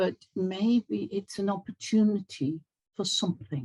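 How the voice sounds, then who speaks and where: With lively intonation, a woman speaks in a dark, mellow, somewhat breathy tone, captured as a dry, close sound with no echo. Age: 70s. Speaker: community gathering participant, holistic life coach. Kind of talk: casual chat.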